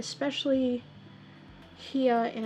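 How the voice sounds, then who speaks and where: A soft-spoken woman talks with an Australian accent. Music plays in the background. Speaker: miniature painter streamer. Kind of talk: live stream tutorial while painting. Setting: live stream. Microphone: audio too quiet.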